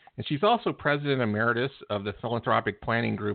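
A man talks in a normal speaking voice. He moves at a fairly quick pace with fairly even intonation. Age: 60s. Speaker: book publisher. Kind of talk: guest introduction.

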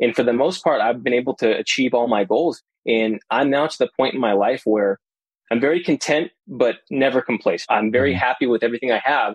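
A plain, everyday voice from a man at medium pitch, fairly quick, with ordinary pitch variation, very even loudness and a dry, close sound with no echo. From US West, Las Vegas. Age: 30s. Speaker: tech worker and real estate investor. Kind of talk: podcast interview.

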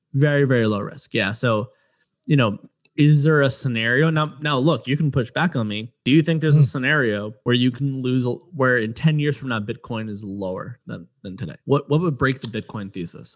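A man with an American accent has an ordinary speaking voice at a medium pitch. He talks at a fairly quick pace with ordinary pitch variation. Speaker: podcast host. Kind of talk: interview chat.

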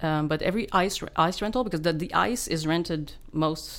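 A woman with a fairly low voice talks at a moderate pace. Her pitch rises and falls in an ordinary way. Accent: Quebec French. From Quebec, Laurentians (Val-David). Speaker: sound engineer. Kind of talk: interview.

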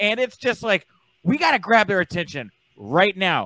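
A man with an American accent and a raised, projected voice, bright, sharp tone and lively intonation at a moderate pace, in a dry, close recording with no echo, very clean with a silent background. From Texas. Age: 30s. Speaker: wrestling journalist. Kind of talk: podcast interview.

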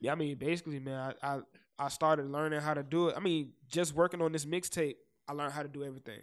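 A man with an American accent, fairly high in pitch and very fast, his intonation fairly even, in a very clean recording with a silent background. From South Florida, Fort Lauderdale (Broward). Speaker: rapper. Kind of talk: casual interview chat. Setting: studio.

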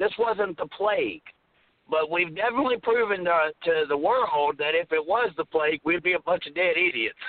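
High-pitched man in a Southern US accent, fairly quick pace, ordinary pitch variation. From US South. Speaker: radio host. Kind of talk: casual chat. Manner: animated.

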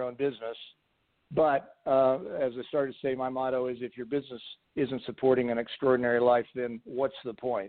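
A man's normal speaking voice at medium pitch and a moderate pace. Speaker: business coach. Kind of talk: casual interview.

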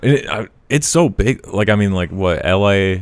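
A man with an American accent at a moderate pace. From Colorado. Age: 20s. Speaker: stand-up comedian. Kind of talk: casual chat. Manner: monotone.

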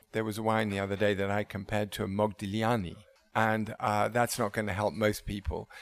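A fairly low-pitched man at a fairly quick pace, flat and monotone in intonation. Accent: English. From England. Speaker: wine bar owner. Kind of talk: interview. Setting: restaurant. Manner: halting.

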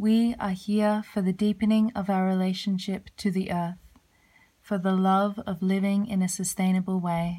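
A woman speaks in a dark, mellow, somewhat breathy tone at a fairly slow pace with flat, monotone intonation, in a very clean recording with a silent background. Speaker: podcast host. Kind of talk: casual chat. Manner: warm, effusive.

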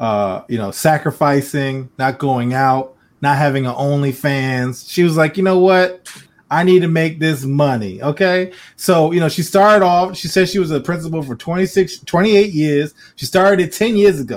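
At a moderate pace, a man with a normal speaking voice talks in a fairly high pitch with lively intonation. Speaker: podcast host. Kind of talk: casual banter, comedic chat. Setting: live stream, studio. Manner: loud, joking.

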